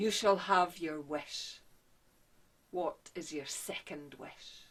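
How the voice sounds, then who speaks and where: This put-on character voice sits at a middle pitch. It moves at a very slow pace. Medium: stage play. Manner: terse, aloof.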